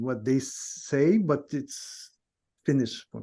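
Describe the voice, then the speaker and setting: Here a man is speaking. His pitch is fairly high. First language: not English. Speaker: guest in nonduality conversation. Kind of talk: casual chat. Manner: halting, many false starts.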